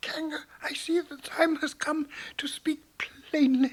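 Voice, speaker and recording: In a put-on character voice, the speaker delivers a high pitch with monotone, flat intonation at a fairly slow pace. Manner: brave, indignant.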